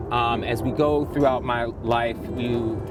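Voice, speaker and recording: Against noticeable background noise and audible room echo, a man with an American accent speaks at a fairly slow pace with ordinary pitch variation. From Baltimore, Maryland, US. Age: 40s. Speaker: personal trainer. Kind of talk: interview. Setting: outdoors.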